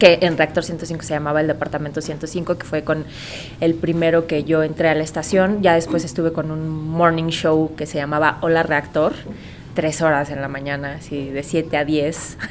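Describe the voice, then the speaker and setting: A woman with a Mexican accent speaks at a moderate pace in a very deep, low, monotone voice over noticeable background noise. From Mexico. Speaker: voice actor; radio host. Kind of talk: podcast interview answer.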